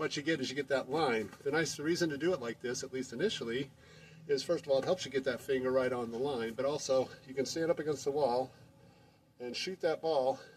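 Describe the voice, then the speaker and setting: Speaking at a fairly quick pace, a man with an unremarkable speaking voice keeps a fairly high pitch and fairly even intonation. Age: 60s. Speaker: amateur basketball player and video maker. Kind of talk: tutorial. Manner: casual, with many fillers.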